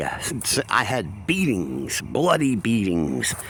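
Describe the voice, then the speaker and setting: A man speaks over noticeable background noise. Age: 50s. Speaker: abuse survivor vlogger. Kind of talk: personal testimony to camera. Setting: outdoors at a dog park. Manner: casual, halting with fillers.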